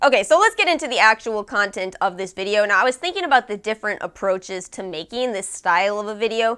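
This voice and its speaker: Very fast and with hardly any pauses, a woman speaks at a fairly high pitch with a bright, sharp tone and lively intonation in a very clean recording with a silent background. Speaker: beauty youtuber. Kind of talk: casual vlog talk to camera.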